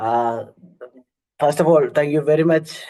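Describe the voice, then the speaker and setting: A man's dark, mellow tone at a fairly slow pace, with fairly even intonation. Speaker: NGO monitoring and evaluation lead. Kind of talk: concluding remarks in a webinar. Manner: halting.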